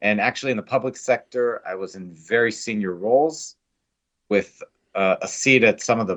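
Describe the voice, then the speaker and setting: A man with an American accent speaks at a moderate pace with ordinary pitch variation. He has an unremarkable speaking voice. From United States. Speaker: biotech company CEO. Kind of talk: interview. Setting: podcast.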